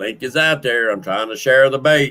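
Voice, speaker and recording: A man speaks with a Southern US accent at a medium pitch. His tone is bright and sharp, with ordinary pitch variation. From Louisiana, Creole French heritage. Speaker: fishing livestream host. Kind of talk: casual livestream chat. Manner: loud.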